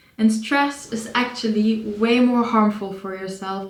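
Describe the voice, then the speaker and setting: Noticeable background noise sits under a woman with a non-native accent and a fairly high pitch. She speaks at a fairly slow pace in a monotone, flat intonation. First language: not English. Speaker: psychology student and video creator. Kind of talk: casual educational monologue. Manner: halting, with self-corrections.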